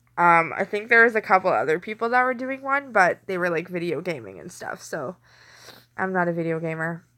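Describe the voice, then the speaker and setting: In a very clean recording with a silent background, a woman with a bright, sharp tone talks fairly quickly, her pitch swinging very widely. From Canada. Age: 30s. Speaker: live streamer. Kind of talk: casual live stream chat. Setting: home kitchen, late night. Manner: clear enunciation.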